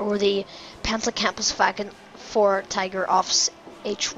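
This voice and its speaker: In a put-on character voice with a German accent, a woman speaks fairly slowly, raspy and monotone, at a medium pitch, with music in the background. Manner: attempted, not convincing.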